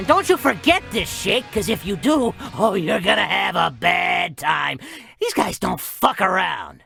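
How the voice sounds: A cartoonish character voice, bright and sharp with vocal fry and a slightly husky edge, raised to a shout with lively intonation over faint background music. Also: fairly slow pace.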